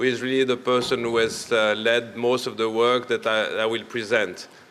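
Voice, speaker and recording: A man with a French accent, with audible room echo and noticeable background noise. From Italian-speaking Switzerland. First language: not English (French/Italian). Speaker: medical doctor, public health researcher. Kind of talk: conference presentation. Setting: conference session. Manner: hesitant, with many fillers.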